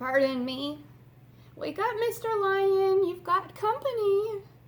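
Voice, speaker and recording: At a fairly slow pace, the speaker delivers lines in a put-on character voice. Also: woman, extremely high pitch for a woman. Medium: read story. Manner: timid, small-voiced.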